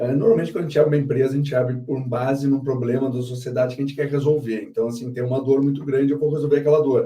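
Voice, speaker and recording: A man with a southern Brazilian accent talks at a very fast pace with hardly any pauses, his fairly high, somewhat breathy voice dark and mellow in tone, his intonation fairly even. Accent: Porto Alegre (gaúcho). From southern Brazil, Porto Alegre. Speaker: company founder and CEO. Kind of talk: live interview.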